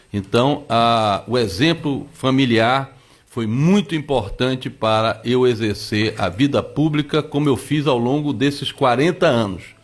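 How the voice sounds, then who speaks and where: A man with an ordinary speaking voice talks at a fairly slow pace and medium pitch, with ordinary pitch variation and hardly any pauses. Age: 60s. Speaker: politician. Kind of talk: radio interview.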